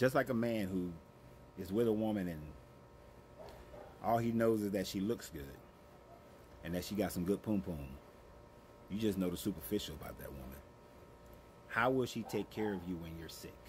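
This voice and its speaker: A man with a fairly low pitch and ordinary pitch variation talks at a fairly quick pace, sounding somewhat breathy. His loudness swings widely over light background noise. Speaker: relationship advice creator. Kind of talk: advice monologue. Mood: calm, earnest, lecturing. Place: garden. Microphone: phone near.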